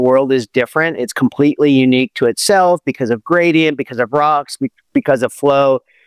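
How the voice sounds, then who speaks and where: Speaking with an American accent, a man talks at a fairly quick pace with a fairly high pitch and ordinary pitch variation. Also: quiet background. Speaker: Olympic athlete and performance coach. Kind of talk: podcast interview. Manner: halting.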